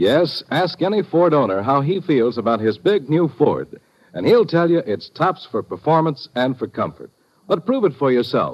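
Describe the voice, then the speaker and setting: Upbeat in tone, a man talks at a moderate pace with a fairly high pitch and vocal fry. His pitch swings very widely. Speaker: commercial announcer. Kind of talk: radio commercial read. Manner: smooth, upbeat, salesman-like.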